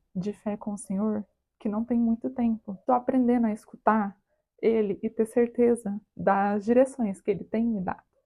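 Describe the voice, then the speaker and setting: A woman's fairly high, somewhat breathy voice with a dark, mellow tone, fairly even intonation and a moderate pace, dry and close with no echo. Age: 20s. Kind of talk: personal testimony talk to camera. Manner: casual, chatty.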